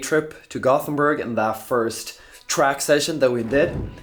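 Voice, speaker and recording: A man talks with fairly even intonation. The room adds audible echo. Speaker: footballer and athlete vlogger. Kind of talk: scripted narration.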